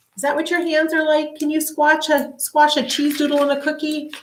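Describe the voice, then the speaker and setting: A woman puts on a squeaky, high-pitched character voice. She talks fairly quickly in a monotone, flat delivery. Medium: read story.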